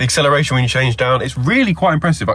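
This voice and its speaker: A man speaks in a British accent at medium pitch, his pitch swinging very widely. Noticeable background noise runs underneath. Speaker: car reviewer. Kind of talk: car review presentation. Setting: in a car. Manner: casual, chatty.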